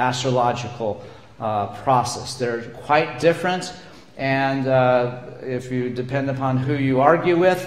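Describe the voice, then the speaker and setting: Amid noticeable background noise and audible room echo, a man at a medium pitch talks at a fairly slow pace with ordinary pitch variation. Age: 60s. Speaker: minister. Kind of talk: sermon.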